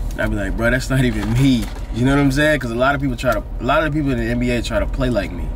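A man races through his words at a very fast pace, the sound dry with no echo, while noticeable background noise runs underneath. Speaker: vlogger. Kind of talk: casual vlog chat. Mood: joking boastful storytelling. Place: car. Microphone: phone near.

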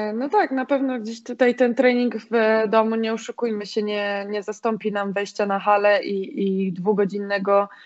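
Against a quiet background, a woman in a normal speaking voice talks at a moderate pace and fairly high pitch with fairly even intonation. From Poland, grew up in the mountains then Piła; Poland. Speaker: volleyball player; guest. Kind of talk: casual interview; interview answer. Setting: home, in quarantine. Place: home room. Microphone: video call.

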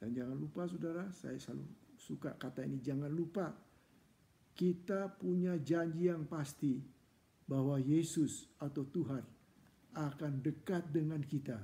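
A man speaks at a fairly slow pace. His voice is fairly high and somewhat breathy. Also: ordinary pitch variation. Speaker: church preacher. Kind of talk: fervent, heartfelt prayer in a devotional session, petitions to God. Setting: online church broadcast. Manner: earnest, pleading, solemn and passionate. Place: home room. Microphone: earbuds.

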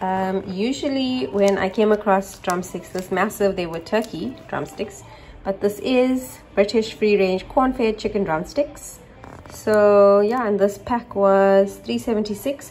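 A woman speaking at a fairly slow pace, ordinary pitch variation, light background noise. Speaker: home vlogger. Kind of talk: casual vlog chat. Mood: upbeat, excited. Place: kitchen. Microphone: phone near.

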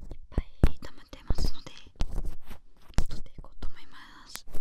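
Soft-spoken and whispering, a woman talks at a moderate pace. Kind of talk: soft ASMR roleplay talk. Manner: soft ASMR whisper close to mic. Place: studio. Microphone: studio mic.

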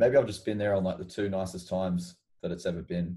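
Against a quiet background, a man with an Australian accent speaks at a fairly quick pace, his very deep, low voice somewhat breathy with a dark, mellow tone. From Queensland, Australia (Mackay, Sunshine Coast). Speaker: rock musician. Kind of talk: casual chat. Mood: relaxed, friendly chat. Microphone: video call.

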